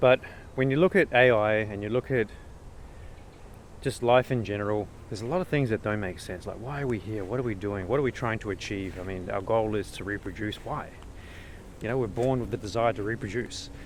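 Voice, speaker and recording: A man with an Australian accent speaks at a fairly quick pace in a fairly low voice, with ordinary pitch variation. His speech is broken by long, frequent pauses. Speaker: vlogger. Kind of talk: casual rant. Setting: outdoors in the bush. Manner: hesitant, repetitive.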